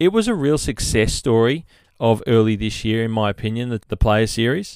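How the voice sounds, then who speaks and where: Speaking at a moderate pace with an Australian accent, a man uses lively intonation at a medium pitch on a very clean recording with a silent background. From Sydney, Australia. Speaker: golf podcast host. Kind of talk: solo podcast monologue. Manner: casual, rambling.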